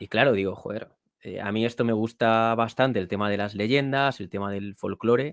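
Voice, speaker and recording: A man with a normal speaking voice talks at a moderate pace and a medium pitch. His intonation is fairly even, but his loudness swings a lot. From Spain, Toro (Zamora, Castile and León). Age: 30s. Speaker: author and podcast host. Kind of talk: interview.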